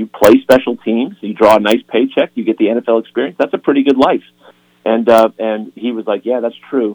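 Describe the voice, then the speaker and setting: A man's plain, everyday voice, medium in pitch, at a moderate pace, with a dry, close sound and no echo. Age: 50s. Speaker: sports chaplain and author. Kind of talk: radio interview.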